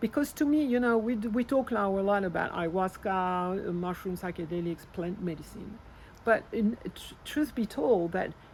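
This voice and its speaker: A somewhat breathy woman's voice with a French accent, medium pitch, lively intonation and a moderate pace. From France. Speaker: spiritual healer. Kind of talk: interview. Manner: halting.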